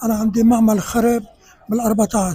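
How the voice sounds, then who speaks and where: Speaking at a moderate pace with a Syrian accent, a man uses an extremely high pitch. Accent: Syrian Levantine Arabic. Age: 70s. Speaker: man on the street interviewee. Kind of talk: street interview.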